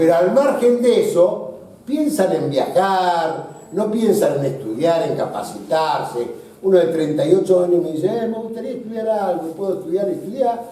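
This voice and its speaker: With lively intonation and a high pitch, a man talks at a moderate pace amid audible room echo. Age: 60s. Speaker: business association leader. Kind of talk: panel discussion.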